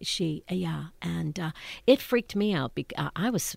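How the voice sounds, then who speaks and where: On a very clean recording with a silent background, a woman with an American accent speaks at a moderate pace with vocal fry. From Pittsburgh, Pennsylvania. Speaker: Broadway performer. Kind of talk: interview. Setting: studio.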